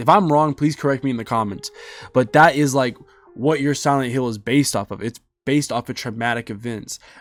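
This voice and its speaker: A man's medium-pitched voice at a very fast pace, with ordinary pitch variation and music in the background. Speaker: gaming YouTuber. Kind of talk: video game review. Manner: halting, stuttering.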